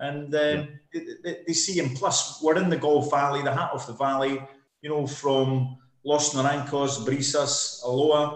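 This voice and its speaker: The speaker talks at a fairly slow pace in a Scottish accent, with monotone, flat intonation. Audible room echo surrounds the voice. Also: man, fairly high pitch for a man. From Scotland. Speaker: property developer sales director. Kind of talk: casual interview.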